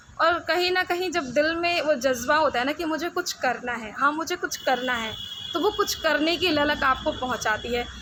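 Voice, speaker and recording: In a raised, projected voice, a woman with a high pitch speaks at a moderate pace. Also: lively intonation. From Rawain, Uttarakhand hills. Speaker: radio announcer. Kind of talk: interview answer.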